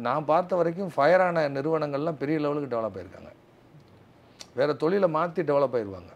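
A man speaks with an ordinary speaking voice at a fairly high pitch. His intonation is lively. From southern Tamil Nadu. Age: 50s. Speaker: guest. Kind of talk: interview. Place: home room. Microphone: lapel.

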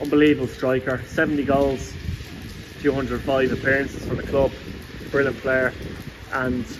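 Noticeable background noise sits under speech delivered at a fairly slow pace. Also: man. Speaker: football fan vlogger. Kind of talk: casual vlog commentary. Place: street. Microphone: phone near.

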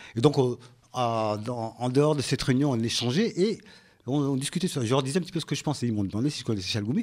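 A man talks at a very fast pace with lively intonation. The recording is very clean with a silent background. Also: medium pitch for a man. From Comoros. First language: Comorian (speaking French). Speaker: local politician and association president. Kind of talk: radio interview. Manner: halting.

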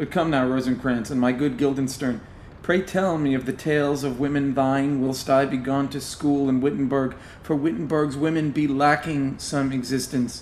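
This man has an ordinary speaking voice, fairly high in pitch, delivered at a moderate pace with fairly even intonation. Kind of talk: scripted audio drama reading in Shakespearean-style verse, performing a character. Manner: archaic, theatrical, playful and mischievous, then suave when flirting.

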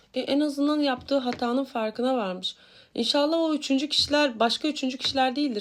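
A woman's high-pitched voice with hardly any pauses. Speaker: tarot reader. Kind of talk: weekly horoscope reading. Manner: casual, chatty with many fillers.

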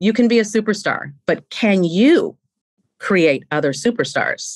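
Against a quiet background, a woman talks at a very slow pace with very wide pitch swings. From US West Coast, San Francisco Bay Area; US West Coast. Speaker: leadership expert; podcast guest, leadership coach. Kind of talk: interview. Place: home room. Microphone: studio mic.

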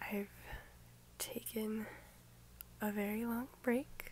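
Soft-spoken and gentle in tone, a woman talks at a very slow pace in a fairly high pitch, with long, frequent pauses, a dry sound with no echo and light background noise. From United States. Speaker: ASMR creator. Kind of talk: ASMR rambling chat to camera. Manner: soft, gentle, friendly. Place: home room. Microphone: phone near.

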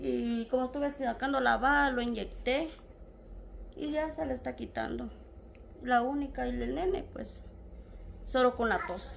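Long, frequent pauses break up a woman's speech amid noticeable background noise. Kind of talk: interview answer. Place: home room. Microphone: phone near.

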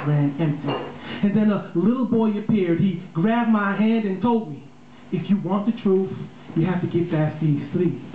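Against light background noise and audible room echo, a man talks at a high pitch with ordinary pitch variation. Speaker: spoken word poet. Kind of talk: spoken word poetry performance. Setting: live on a small bar stage with audience. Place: stage.

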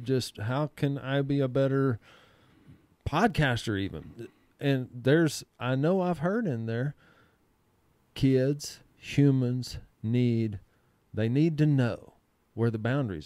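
A man with a Texan accent speaks at a very slow pace, with long, frequent pauses, ordinary pitch variation and a dark, mellow tone, in a dry sound with no echo over a quiet background. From Texas, Comanche. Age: 40s. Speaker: podcast host. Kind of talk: casual chat. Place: studio. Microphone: studio mic.

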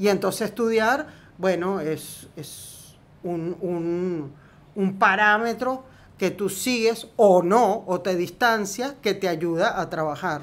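A very slow pace from a woman at medium pitch, her pitch varying in an ordinary way. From Argentina, Quilmes near Buenos Aires. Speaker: film script supervisor. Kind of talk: interview. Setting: at home.

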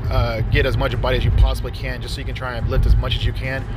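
A man at a very fast pace, dry with no echo, over clear music in the background. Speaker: equipment reviewer. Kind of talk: product review tutorial. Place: garage.

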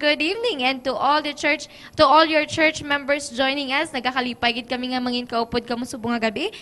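The voice is raised and projected, with a Western Visayan accent. Its pitch variation is ordinary. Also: woman. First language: Hiligaynon (speaking Tagalog). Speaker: program host. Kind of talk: live program hosting. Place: studio. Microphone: handheld.

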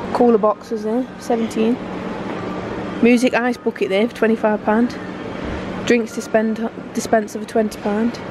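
A woman speaks at a fairly slow pace, with long, frequent pauses. The sound is dry with no echo, over noticeable background noise. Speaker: shopping vlogger. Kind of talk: casual vlog chat. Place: shop. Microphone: phone near.

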